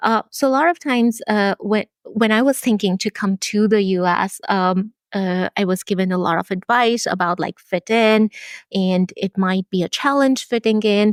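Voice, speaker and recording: With an Indian accent, a woman talks at a medium pitch with ordinary pitch variation, recorded very cleanly against a silent background in a dry, close sound with no echo. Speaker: physician researcher. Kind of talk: interview.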